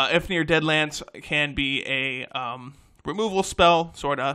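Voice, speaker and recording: A man speaks in a fairly high voice with a bright, sharp tone. The recording is very clean, with a silent background. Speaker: card game deck tech youtuber. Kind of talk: tutorial. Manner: fast; stumbling over words.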